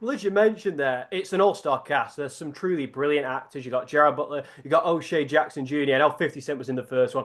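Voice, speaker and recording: With a Lancashire accent, a man talks at a very fast pace in a fairly high pitch, with hardly any pauses. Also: ordinary pitch variation. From northern England, Preston, Lancashire. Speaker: sports journalist interviewer. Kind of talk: interview.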